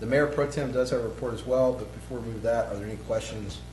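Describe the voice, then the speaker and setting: A man with an American accent talks at a very fast pace. Audible room echo and music play in the background. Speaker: city administrator. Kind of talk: council meeting report. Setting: city council meeting.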